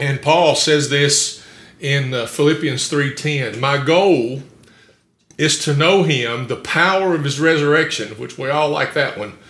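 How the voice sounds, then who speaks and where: Speaking at a fairly slow pace, a man with a fairly high pitch and ordinary pitch variation is heard with audible room echo. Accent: American. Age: 60s. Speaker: pastor. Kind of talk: sermon. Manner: halting.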